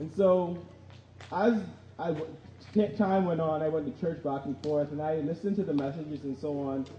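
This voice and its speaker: Noticeable background noise runs under the speech. The pace is moderate, broken by long, frequent pauses. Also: man, fairly high pitch for a man, ordinary pitch variation. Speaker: church member giving testimony. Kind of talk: testimony.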